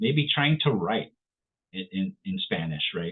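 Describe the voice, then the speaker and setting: A man with a Chicago accent speaks with very wide swings in pitch. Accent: Chicago American English. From Chicago, Little Village. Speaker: Marine Corps veteran. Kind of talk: interview conversation.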